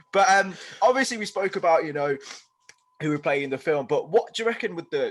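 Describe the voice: A man with a slight Birmingham accent speaks with very wide pitch swings. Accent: slight Birmingham twang.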